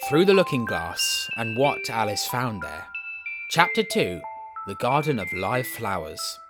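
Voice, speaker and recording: With music playing behind him, a man with a Southern English accent talks at a fairly slow pace. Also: big swings in loudness. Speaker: voice actor. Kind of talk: audiobook reading.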